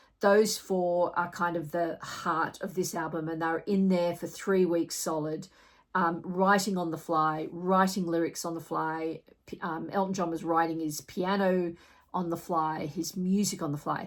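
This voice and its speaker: The speech moves at a fairly slow pace with a monotone, flat intonation. It is a very clean recording with a silent background. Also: woman, fairly low pitch for a woman. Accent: Australian. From Australia. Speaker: music reviewer, vinyl collector. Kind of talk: album review vlog. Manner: casual, conversational with fillers.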